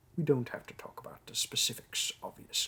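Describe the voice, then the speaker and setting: A man in a put-on character voice. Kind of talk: audio role play. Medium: role play. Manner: polite, businesslike.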